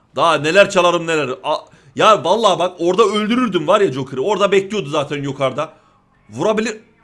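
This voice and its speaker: Very fast in pace, this man's high-pitched voice carries an animated tone and lively intonation. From Denmark. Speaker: gaming youtuber. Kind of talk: gameplay commentary.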